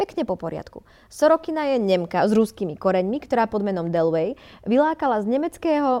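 Fairly quick and fairly high, a woman's voice has a dark, mellow tone and very wide pitch swings. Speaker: podcast co-host. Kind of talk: reading aloud; casual chat.

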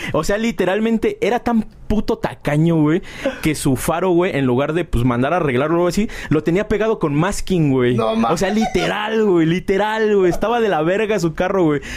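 A man with a high pitch speaks at a moderate pace in an animated tone with lively intonation and very even loudness. He barely pauses, and there is noticeable background noise. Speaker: podcast host. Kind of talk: casual chat.

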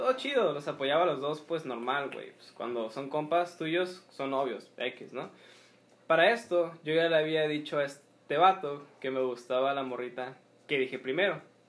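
A man with a plain, everyday voice talks at a fairly slow pace and a fairly high pitch. His loudness swings widely while his pitch varies in an ordinary way. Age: 20s. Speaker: podcast co-host. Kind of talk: casual chat.

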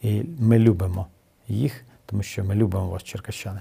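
A man talks at a moderate pace. His tone is dark and mellow, somewhat breathy. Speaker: city mayor. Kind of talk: interview. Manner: hesitant with filler sounds.

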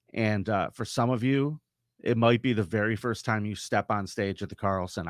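A plain, everyday voice talks at a moderate pace with ordinary pitch variation. The recording is very clean, with a silent background. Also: man, dry, close sound with no echo. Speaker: podcast host. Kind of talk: casual chat. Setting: studio.

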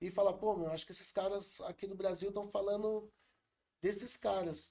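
The man's voice has a dark, mellow tone. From São Paulo south zone. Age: 40s. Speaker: rapper and event organizer. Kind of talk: casual interview.

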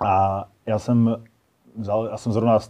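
A man speaks at a medium pitch with a dark, mellow tone. His intonation stays monotone and flat over a quiet background. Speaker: firefighter and fire sport athlete. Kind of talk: casual interview. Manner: halting.

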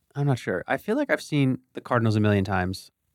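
This is a normal speaking voice with an American accent, fairly quick and with ordinary pitch variation. The recording is very clean and dry, close with no echo and a silent background. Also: man. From eastern Pennsylvania, Bethlehem. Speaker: podcast host. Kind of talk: casual chat.

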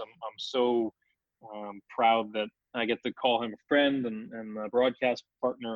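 With an American accent, a man talks at a fairly slow pace. His intonation is monotone and flat. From New York (Brooklyn). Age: 20s. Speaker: hockey play-by-play broadcaster. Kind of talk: interview.

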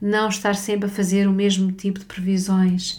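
A woman speaks in a European Portuguese accent at a fairly slow pace. Her tone is dark and mellow, and somewhat breathy. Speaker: spiritual therapist and podcast host. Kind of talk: personal storytelling monologue.

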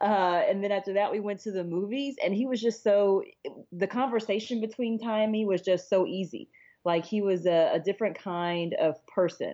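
A woman of medium pitch with an American accent, dark and mellow in tone, at a moderate pace with ordinary pitch variation and a quiet background. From San Antonio, Texas. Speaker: tech entrepreneur, marketing executive. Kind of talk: interview.

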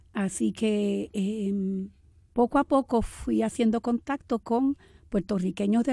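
A woman at a fairly slow pace, in a very clean recording with a silent background and a dry, close sound with no echo. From Puerto Rico, Camuy. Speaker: writer. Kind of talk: poetry reading; interview.

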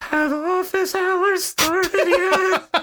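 An extremely high-pitched, put-on character voice. It has a creaky edge. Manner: eerie, spooky.

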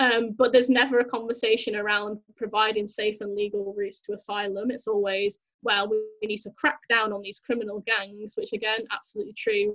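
The delivery is fairly quick with hardly any pauses and a monotone, flat intonation. Loudness swings a lot. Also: woman, fairly high pitch for a woman. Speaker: charity social media worker and researcher. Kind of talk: interview. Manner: filler-heavy, rambling speech.

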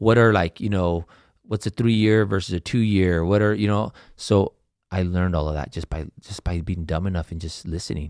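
A man with an American accent and a very deep, low pitch, at a moderate pace with fairly even intonation, in a dry, close sound with no echo on a very clean recording with a silent background. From California central coast. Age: 40s. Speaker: entrepreneur and financial planner. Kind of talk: casual interview chat.

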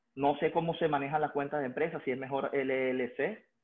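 Here a man speaks with a Venezuelan accent. His pitch is fairly high and his intonation fairly even. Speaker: business owner. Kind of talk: client consultation call.

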